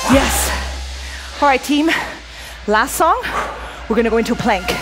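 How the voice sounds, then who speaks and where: Background music is playing. Over it, a woman talks at a moderate pace. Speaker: fitness instructor. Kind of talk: workout class instruction. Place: gym.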